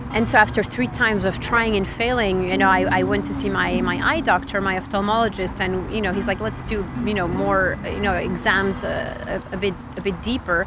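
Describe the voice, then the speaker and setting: With a French accent, a woman talks at a fairly quick pace with hardly any pauses, amid noticeable background noise and audible room echo. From Switzerland. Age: 30s. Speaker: tech reporter. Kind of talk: interview testimony. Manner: halting, with frequent fillers.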